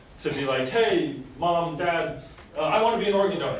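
A man talks at a moderate pace in a high pitch with ordinary pitch variation. Audible room echo and light background noise can be heard. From Essex, New England; New England. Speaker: heart transplant recipient speaker; speaker. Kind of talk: school presentation; classroom presentation. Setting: classroom with students. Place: classroom. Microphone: camera far.

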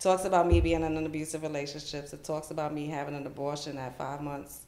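With a New York accent, a woman speaks at a fairly quick pace in a very deep, low pitch, her intonation monotone and flat, and audible room echo in the recording. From New York, the Bronx. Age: 40s. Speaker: children's author; podcast guest. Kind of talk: interview. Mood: reflective, calm. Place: studio.

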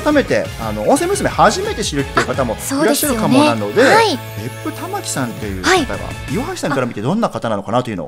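A man talks at a very fast pace while music plays in the background. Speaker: radio host, staff member. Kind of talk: radio talk show host, casual chat.

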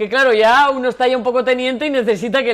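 Pitched fairly high, a woman talks with ordinary pitch variation. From Portugalete, Basque Country. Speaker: TV presenter. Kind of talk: live TV show. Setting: studio. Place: studio.

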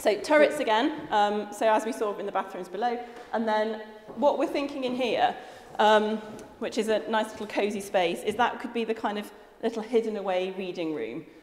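Room echo is audible as a woman talks at a moderate tempo. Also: ordinary pitch variation. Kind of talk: interview answer. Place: empty room. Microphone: lapel.

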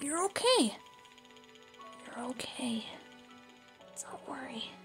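A woman puts on a character voice, high-pitched and very slow. Clear music plays in the background. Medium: dub. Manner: soft, reassuring.

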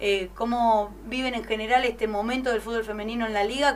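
This woman has an unremarkable speaking voice, fairly high in pitch with fairly even intonation, over light background noise. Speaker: sports radio host. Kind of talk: radio interview. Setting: studio. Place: studio.

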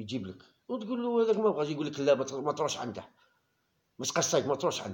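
A man talks at a very fast pace with very wide pitch swings. His loudness swings a lot as well. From Algeria. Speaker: YouTube football commentator. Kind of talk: casual monologue. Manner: animated. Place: home room. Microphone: phone near.

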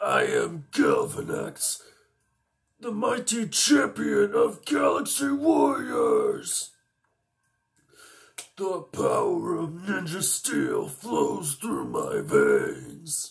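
Using a put-on character voice, a man talks at a very slow pace. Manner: menacing, strong, tough.

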